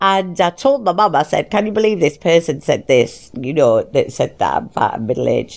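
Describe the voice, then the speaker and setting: A woman with a fairly low pitch and vocal fry talks at a fairly quick pace, her pitch swinging very widely with hardly any pauses. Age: 40s. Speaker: podcast host. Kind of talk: casual monologue. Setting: recording in bed. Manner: animated.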